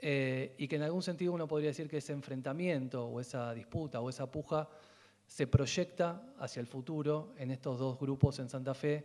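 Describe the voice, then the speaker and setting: At a moderate pace, a man with an unremarkable speaking voice talks with a fairly high pitch and fairly even intonation. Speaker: film researcher and university lecturer. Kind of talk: lecture.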